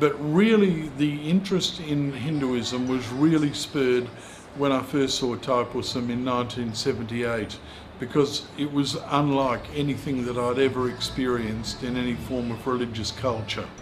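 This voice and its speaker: With an Australian accent, a man talks at a moderate pace and medium pitch with ordinary pitch variation, amid noticeable background noise and audible room echo. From rural South Australia. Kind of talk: interview. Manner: halting.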